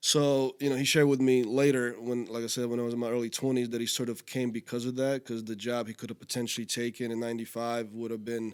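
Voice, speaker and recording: A man speaking very fast in a monotone, flat delivery. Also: medium pitch for a man, hardly any pauses. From Slovakia, moved to US as a child. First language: Slovak. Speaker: entrepreneur and marketing expert. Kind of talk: casual interview.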